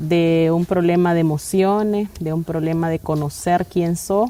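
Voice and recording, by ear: A woman speaks at a fairly low pitch in a dark, mellow tone. Her intonation stays fairly even. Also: fairly slow pace.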